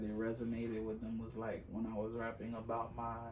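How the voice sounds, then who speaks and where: There is audible room echo and noticeable background noise. A man talks at a moderate pace with a medium pitch. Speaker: aspiring rapper and singer. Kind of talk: casual interview chat. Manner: halting, many fillers.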